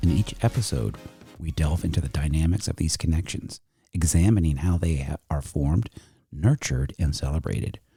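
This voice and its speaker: With music in the background, a man talks fairly quickly in a very deep, low voice with ordinary pitch variation. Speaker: podcast host. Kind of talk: podcast intro read.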